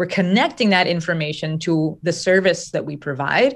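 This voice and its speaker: In a very clean recording with a silent background, a woman with an American accent speaks fairly quickly at a fairly low pitch in a plain, everyday voice. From New Jersey. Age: 30s. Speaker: business coach. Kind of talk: interview conversation.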